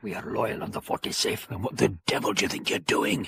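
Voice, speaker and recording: Putting on a raspy character voice, a man talks at a fairly quick pace and a medium pitch. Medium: audio drama.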